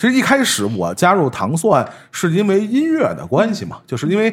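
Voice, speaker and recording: With vocal fry, a man speaks as his pitch swings very widely. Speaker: podcast host. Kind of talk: casual chat.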